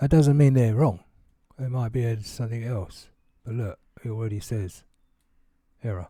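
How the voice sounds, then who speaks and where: A man speaks at a moderate pace with a dark, mellow tone and medium pitch. His voice is somewhat breathy, with ordinary pitch variation. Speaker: gaming YouTuber. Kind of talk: tutorial. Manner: casual with fillers.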